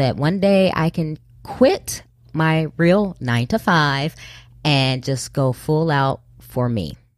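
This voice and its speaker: Her very deep, low voice carries a confident tone and lively intonation as this woman speaks. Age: 40s. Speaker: Navy veteran and podcaster. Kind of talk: casual interview conversation. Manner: confident, assertive.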